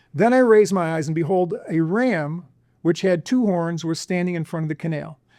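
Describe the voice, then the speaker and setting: A dark, mellow tone against a quiet background. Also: man. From US Midwest, Illinois. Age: 70s. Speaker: researcher and author. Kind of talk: interview with slide presentation. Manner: halting, many fillers and restarts.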